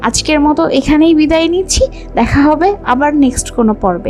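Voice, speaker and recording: With music in the background, a woman speaks at a high pitch with very even loudness and lively intonation. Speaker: voice-over artist. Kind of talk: fact narration.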